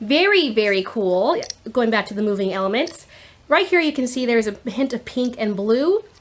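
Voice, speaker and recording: A woman speaks loudly. Her intonation is lively. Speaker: YouTuber showing a shopping haul. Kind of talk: casual haul video talk. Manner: animated.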